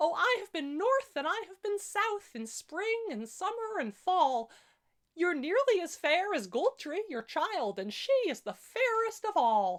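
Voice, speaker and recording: A woman puts on a character voice at an extremely high pitch, with very wide pitch swings. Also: fairly slow pace. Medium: solo performance. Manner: careful, hesitant.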